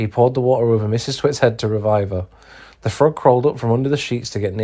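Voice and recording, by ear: Someone reads aloud in a natural voice.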